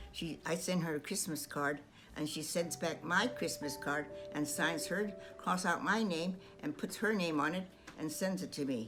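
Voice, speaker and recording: Over music in the background, a woman with an American accent speaks at a very deep, low pitch. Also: lively intonation, moderate pace. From Stockton, California. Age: 80s+. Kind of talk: personal memoir narration over photos. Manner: hesitant, halting.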